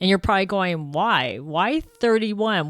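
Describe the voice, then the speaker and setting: A woman's animated, medium-pitched voice at a fairly slow pace with lively intonation, in a very clean recording with a silent background and a dry, close sound with no echo. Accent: American. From San Francisco, US West Coast. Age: 60s. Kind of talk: podcast monologue.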